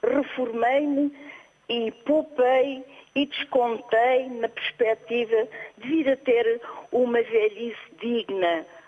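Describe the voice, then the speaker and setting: A woman's high-pitched voice at a very slow pace, with long, frequent pauses and noticeable background noise. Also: ordinary pitch variation. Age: 70s. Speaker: retiree caller. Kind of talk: phone-in opinion. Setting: phone call.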